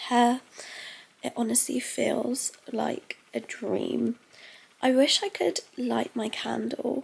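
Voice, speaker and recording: The speaker talks at a very slow pace with a British accent. Long, frequent pauses break up the speech. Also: woman. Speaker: lifestyle vlogger. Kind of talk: casual vlog talk to camera. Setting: bedroom at home. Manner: heavy breathing.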